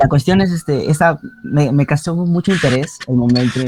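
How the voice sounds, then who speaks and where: A man talks at a moderate pace. He has a normal speaking voice. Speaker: university student. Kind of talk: class discussion.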